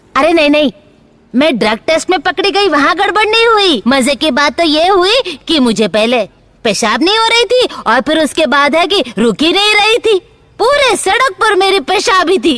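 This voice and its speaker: A woman's put-on character voice, extremely high-pitched, with very wide pitch swings and very even loudness. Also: moderate pace. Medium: fan dub. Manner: brash, mocking.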